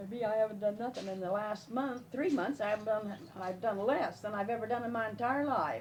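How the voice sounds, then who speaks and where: Over noticeable background noise, a woman talks at a fairly quick pace. Her fairly high voice has ordinary pitch variation. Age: 80s+. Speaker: family elder interviewed by relatives. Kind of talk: casual family interview.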